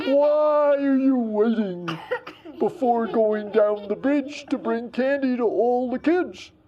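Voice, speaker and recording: A woman puts on a character voice at a high pitch. She delivers it at a fairly slow pace. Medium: read story. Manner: calm, kindly.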